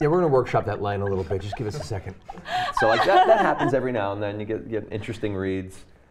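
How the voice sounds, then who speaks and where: A man speaks very fast, fairly low in pitch and with lively intonation, as noticeable background noise carries on. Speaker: voice actor. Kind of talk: interview answer. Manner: casual, conversational.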